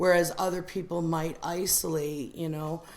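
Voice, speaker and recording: A woman with a very deep, low voice is heard with clear room reverberation. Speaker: recovery meeting member sharing. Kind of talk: testimony. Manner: loud; animated.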